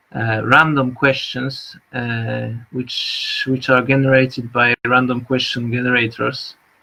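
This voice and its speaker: Speaking in a Polish accent, a man has a bright, sharp tone. His pace is fairly slow and his intonation monotone and flat. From Poland. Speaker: artist and vlogger. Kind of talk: live stream monologue. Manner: halting, many fillers.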